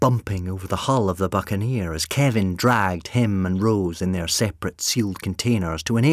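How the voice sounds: A natural reading voice carries ordinary variation in pitch.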